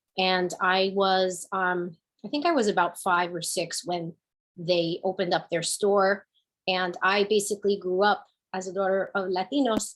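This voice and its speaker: In a New Jersey accent, a woman speaks at a medium pitch and a moderate pace with fairly even intonation. The recording is very clean, with a silent background. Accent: New Jersey American English. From New Jersey, Newark and Kearny. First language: Spanish. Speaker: business owner and panelist. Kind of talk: panel discussion.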